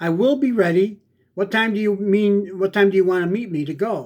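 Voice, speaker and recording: A man uses a put-on character voice with a high pitch. He talks at a fairly quick pace. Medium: read story.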